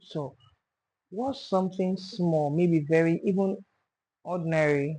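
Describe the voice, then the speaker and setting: Speaking at a fairly slow pace with long, frequent pauses, a woman has a fairly low pitch and a dark, mellow tone. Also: ordinary pitch variation. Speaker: podcast host. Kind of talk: podcast interview host.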